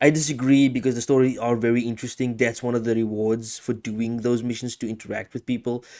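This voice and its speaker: A man talks at a very fast pace with hardly any pauses, using a medium-pitched voice and monotone, flat intonation. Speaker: video game podcast host. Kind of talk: casual chat. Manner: halting, stutters and repeats words.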